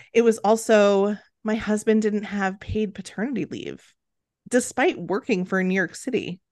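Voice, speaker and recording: A woman's unremarkable speaking voice at medium pitch, moderate pace and ordinary pitch variation, against a quiet background. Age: 30s. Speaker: company founder and mother. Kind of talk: casual interview.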